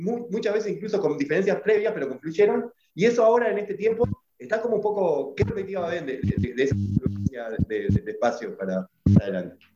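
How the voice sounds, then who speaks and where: A man's high-pitched voice at a very fast pace. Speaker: podcast host. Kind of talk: casual chat. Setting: video call.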